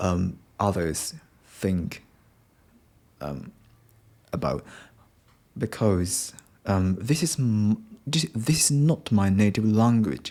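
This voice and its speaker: A man with a Japanese accent at a fairly low pitch, dark and mellow in tone, with very wide pitch swings, a very slow pace and long, frequent pauses, on a very clean recording with a silent background. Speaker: podcaster, English learner. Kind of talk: unscripted solo podcast monologue. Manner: halting, many fillers.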